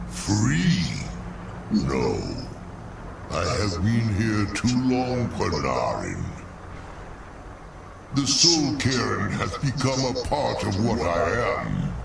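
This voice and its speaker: A man in a put-on character voice talks at a very slow pace with long, frequent pauses, over loud background noise and a slight echo. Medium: video game. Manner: slow, sorrowful.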